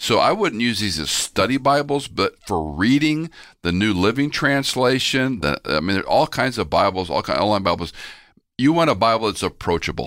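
In an American accent with vocal fry, the speaker goes at a moderate pace with very wide pitch swings on a very clean recording with a silent background. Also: man, medium pitch for a man. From Houston, Texas. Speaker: pastor and Bible teacher. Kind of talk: interview conversation.

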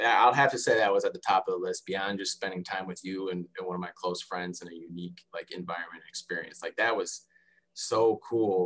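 With an American accent, a man speaks at a fairly quick pace, his loudness swinging widely. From Michigan, US (Detroit area and Lansing). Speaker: sports dietitian. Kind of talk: interview.

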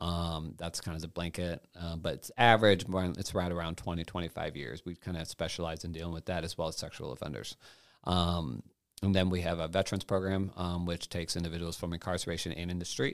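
Very deep, low male voice at a fairly quick pace, very clean recording, silent background. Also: fairly even intonation. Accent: American. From Italy (US military family), later US. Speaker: criminal justice ministry worker, ex-offender. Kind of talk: interview.

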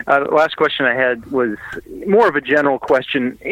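A man with an American accent, medium pitch, moderate pace, and an ordinary speaking voice. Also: dry, close sound with no echo. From Indianapolis, US Midwest. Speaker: homebrewer submitting beer. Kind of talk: casual chat, getting beer feedback.

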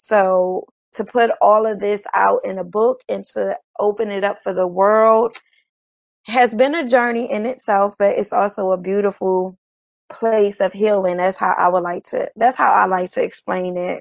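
This is an unremarkable speaking voice with an American accent, delivered at a moderate pace with ordinary pitch variation. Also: woman, medium pitch for a woman. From Chester, Pennsylvania, near Philadelphia. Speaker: poet and author. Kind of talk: interview.

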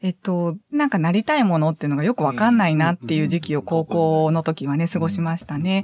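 A woman's fairly low-pitched voice at a very fast pace, with hardly any pauses, very even loudness, ordinary pitch variation and a dry, close sound with no echo. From Hyogo, Kansai (Sanda, north of Kobe). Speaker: psychiatric social worker. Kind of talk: interview.

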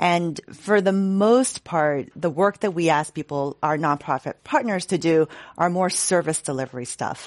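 A woman with an American accent and a normal speaking voice, fairly low in pitch with ordinary pitch variation, at a fairly slow pace with hardly any pauses, against a quiet background. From Boston. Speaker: city department director, psychologist. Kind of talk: panel discussion. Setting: stage with audience.

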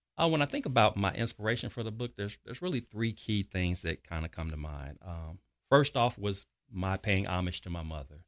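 With an American accent and a normal speaking voice, a man talks at a fairly quick pace in a fairly low pitch with lively intonation, in a very clean recording with a silent background. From US Midwest, South Side of Chicago. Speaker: author and leadership consultant. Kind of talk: interview.

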